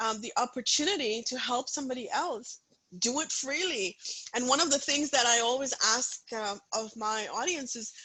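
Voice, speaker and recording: A woman speaks in a raised, projected voice with an animated tone. Her pitch varies in an ordinary way. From India, Punjab. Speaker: author and inspirational speaker. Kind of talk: interview.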